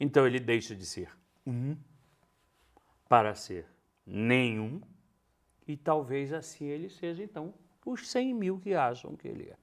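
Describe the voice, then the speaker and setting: Fairly high in pitch, a man speaks fairly slowly with very wide pitch swings, big swings in loudness, and long, frequent pauses. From northern Brazil, Belém. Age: 60s. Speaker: stage actor. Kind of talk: interview. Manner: animated storytelling.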